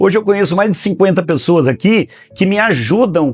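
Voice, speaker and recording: A man's high-pitched voice with lively intonation. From Brazil, São Paulo state interior. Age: 60s. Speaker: book publisher. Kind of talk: interview. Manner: conversational, frequent fillers.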